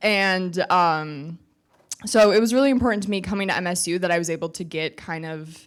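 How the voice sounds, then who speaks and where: This woman has an unremarkable speaking voice, pitched fairly low. She speaks at a moderate pace with ordinary pitch variation. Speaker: student entrepreneur. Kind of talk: panel discussion.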